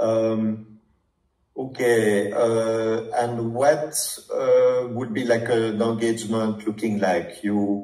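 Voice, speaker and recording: A man with a strong French accent and fairly even intonation, in a room with audible echo. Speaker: startup founder, prospective client. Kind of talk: sales discovery call. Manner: halting, many fillers.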